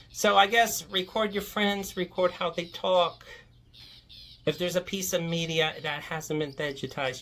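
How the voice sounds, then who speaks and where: A woman at a moderate pace, in a Virginia Piedmont accent. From Virginia Piedmont, US. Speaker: folklore video creator. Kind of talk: casual monologue rant. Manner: rambling, conversational.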